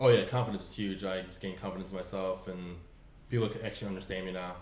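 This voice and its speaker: A man with a slight South African accent speaks very fast at a very deep, low pitch in a monotone, flat intonation, with big swings in loudness, audible room echo and noticeable background noise. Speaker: immigrant interviewee. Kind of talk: interview. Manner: casual, lots of fillers.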